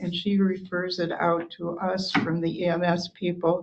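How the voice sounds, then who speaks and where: Noticeable background noise sits behind a woman speaking at a medium pitch. Her pace is fairly slow and her intonation monotone and flat. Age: 70s. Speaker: local government official. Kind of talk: public meeting discussion.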